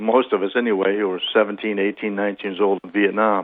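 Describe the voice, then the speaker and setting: A man talks at a fairly quick pace in a fairly low pitch. His intonation stays monotone and flat. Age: 60s. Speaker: author and Vietnam veteran. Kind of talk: radio interview. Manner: halting.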